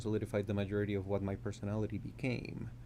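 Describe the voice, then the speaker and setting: A man with a Colombian accent speaks very fast at a fairly low pitch, with vocal fry. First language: Spanish. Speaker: composer and music professor. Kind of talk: interview conversation.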